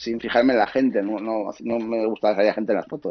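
The man talks at a very fast pace. His pitch is medium. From Asturias, Spain. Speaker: photographer. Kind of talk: interview.

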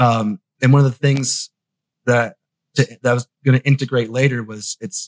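Speaking at a fairly slow pace, a man with an American accent has a medium pitch and a somewhat breathy voice. The sound is dry and close, with no echo. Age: 30s. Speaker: tech journalist. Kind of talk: casual interview. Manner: halting.

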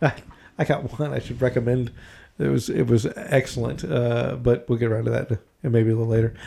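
Fairly quick and somewhat breathy, a man speaks at medium pitch with a dark, mellow tone and ordinary pitch variation. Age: 50s. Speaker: podcast co-host. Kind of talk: casual chat. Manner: halting.

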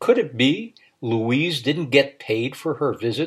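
Simply a natural reading voice

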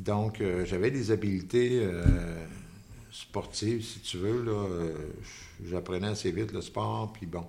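A man with a Quebec accent speaks very slowly, with long, frequent pauses and fairly even intonation. His pitch is fairly low, and there is audible room echo. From Quebec City, Quebec. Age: 70s. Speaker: painter. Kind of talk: interview. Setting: artist's studio.

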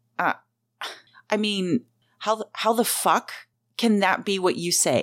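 A woman at medium pitch and a fairly slow pace, with ordinary pitch variation and long, frequent pauses. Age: 40s. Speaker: podcast host. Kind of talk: personal storytelling monologue. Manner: halting, many fillers.

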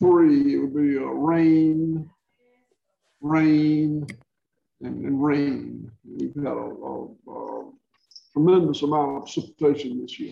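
With a Southern US accent, a man speaks at a very slow pace, with long, frequent pauses and big swings in loudness. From rural Georgia, US South. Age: 60s. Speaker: regenerative livestock farmer. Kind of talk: interview, conversational Q&A.

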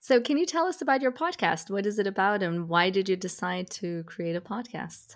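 In a very clean recording with a silent background, a woman with an unremarkable speaking voice talks at a medium pitch and a fairly quick pace, using lively intonation and hardly any pauses. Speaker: podcast host. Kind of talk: interview.

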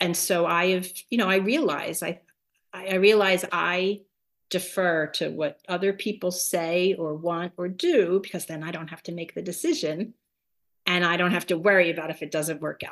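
In a quiet background, a woman with an American accent and an ordinary speaking voice talks at a moderate pace, her pitch fairly low, her intonation fairly even and her loudness swinging widely. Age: 50s. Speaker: retiree preparing for pilgrimage. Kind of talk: interview.

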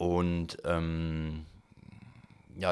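A man is speaking here. His pitch is very deep and low. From northern Germany, near Hannover. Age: 40s. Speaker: politician and labour lawyer. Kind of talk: interview.

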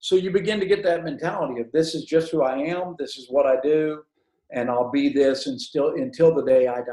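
A man with a dark, mellow tone and a fairly high pitch talks at a fairly quick pace. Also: lively intonation, big swings in loudness. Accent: Southern US. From Alabama, US South. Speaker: evangelist and ministry director. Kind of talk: testimony.

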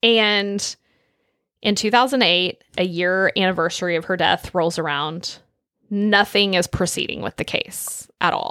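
A woman with an American accent and an unremarkable speaking voice talks fairly slowly at a medium pitch with ordinary pitch variation, in a very clean recording with a silent background. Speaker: true crime podcast co-host. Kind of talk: casual true crime storytelling.

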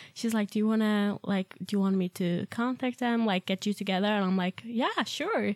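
A woman with a Swedish accent talks at a moderate pace and medium pitch, with hardly any pauses. Her loudness is very even, her intonation fairly even, and the sound dry and close with no echo. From Sweden. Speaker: au pair. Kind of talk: casual chat.

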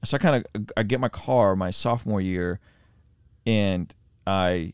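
In a very clean recording with total silence behind him, a man's fairly low voice shows normal pitch movement. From Azerbaijan, moved to US as child. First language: non-English, English second. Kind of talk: personal testimony interview. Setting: mobile podcast studio in an RV trailer.

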